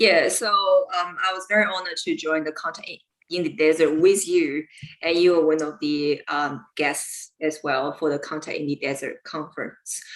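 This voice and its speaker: A woman speaks at a moderate pace in a Chinese accent. Her pitch is fairly low and her intonation fairly even. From China. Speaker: lawyer and UFO researcher. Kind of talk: interview on live stream.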